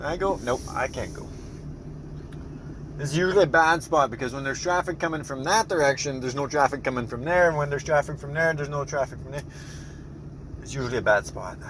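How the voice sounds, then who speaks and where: Through noticeable background noise, a man with a fairly high pitch and ordinary pitch variation talks very fast, breaking into long, frequent pauses as his loudness swings widely. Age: 30s. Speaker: vlogger, tradesman. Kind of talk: casual vlog. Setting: in a car.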